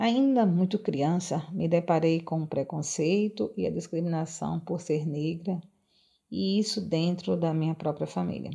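A woman talks at a fairly slow pace in a fairly low, somewhat breathy voice with a dark, mellow tone. Her pitch varies in an ordinary way against a quiet background. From Brazil, Rio Grande do Norte (coastal town near Natal). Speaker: nutritionist and social sciences graduate student. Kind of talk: personal testimony, largely read. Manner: formal.

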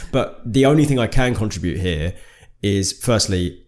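A man speaks with a Birmingham accent and lively intonation. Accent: Brummie. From Birmingham, England. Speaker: podcast co-host. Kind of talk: casual chat.

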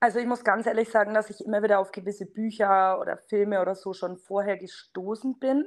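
Against a quiet background, a woman with a Franconian accent talks at a fairly quick pace with hardly any pauses, keeping a medium pitch and fairly even intonation. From Franconia, near Bamberg. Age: 30s. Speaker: network marketer. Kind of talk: casual interview.

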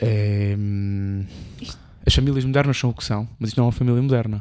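A man's dark, mellow tone with fairly even intonation and a European Portuguese accent. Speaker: podcast co-host. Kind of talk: casual chat.

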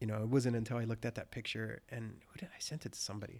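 A man talks at a medium pitch and a fairly quick pace. His intonation is fairly even, with vocal fry. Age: 30s. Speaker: podcast host. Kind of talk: casual chat. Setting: studio.

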